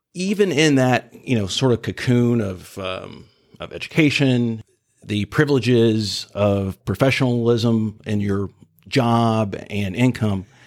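In a very clean recording with a silent background, a man speaks fairly slowly in an unremarkable speaking voice at medium pitch, with ordinary pitch variation. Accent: American. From Jacksonville, Florida (Mandarin). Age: 50s. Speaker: civil rights activist. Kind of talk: interview.

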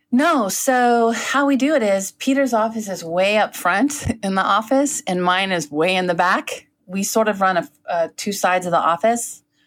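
A woman with an American accent speaks at a moderate pace, with a plain, everyday voice and a medium pitch. Her intonation is lively, and she hardly pauses at all. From Northern California. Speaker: lawyer. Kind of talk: casual chat.

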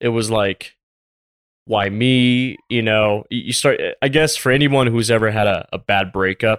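A man with an American accent speaks in a plain, everyday voice at a medium pitch. His intonation is fairly even, and the sound is dry and close with no echo. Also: fairly slow pace. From US South, Tampa, Florida. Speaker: business consultant and former retail buyer. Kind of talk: casual interview chat.

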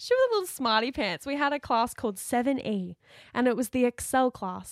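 An Australian accent marks this woman's high voice, whose pitch swings very widely, captured dry and close with no echo on a very clean recording against a silent background. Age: 20s. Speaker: podcast co-host, dancer. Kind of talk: casual chat.

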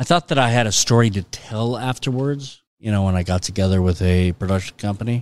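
A man with a Californian accent talks at a fairly quick pace in a fairly low pitch, with ordinary pitch variation and hardly any pauses. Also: very clean recording, silent background. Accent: Californian American. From Los Angeles, San Fernando Valley. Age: 40s. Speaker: film and TV executive, former actor. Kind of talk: casual interview.

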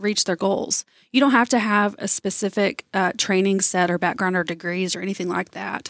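In a normal speaking voice, a woman with an American accent talks at a moderate pace and medium pitch, recorded very cleanly with a silent background and a dry, close sound with no echo. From East Texas (Tyler). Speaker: nonprofit executive director. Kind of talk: radio interview.

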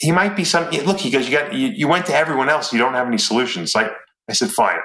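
A man talks in a New York accent. His tone is bright and sharp, with vocal fry. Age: 50s. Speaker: former bodybuilder and supplement company owner. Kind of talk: casual interview.

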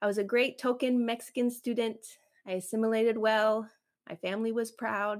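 A woman with a Spanish accent talks at a fairly quick pace in a fairly high pitch. Her intonation stays monotone and flat. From Chicago suburbs, US Midwest. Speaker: podcast host and photographer, business owner. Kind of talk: solo podcast livestream monologue. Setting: YouTube livestream.

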